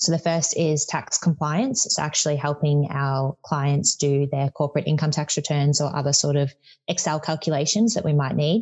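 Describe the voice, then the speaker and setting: With an Australian accent, a woman speaks in a very deep, low, somewhat breathy voice at a moderate pace, with hardly any pauses, very even loudness and ordinary pitch variation. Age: 20s. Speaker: tax consultant. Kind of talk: interview.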